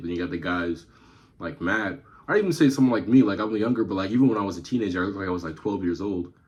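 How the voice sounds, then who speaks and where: A man's very deep, low voice, somewhat breathy, at a very fast pace. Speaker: YouTube reactor. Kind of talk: casual commentary.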